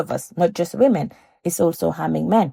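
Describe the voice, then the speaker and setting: A woman speaks at a fairly quick pace in a fairly low pitch, her dark, mellow tone touched with vocal fry, in a dry, close recording with no echo that is very clean against a silent background. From Gambia. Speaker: anti-FGM activist. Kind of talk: interview answer.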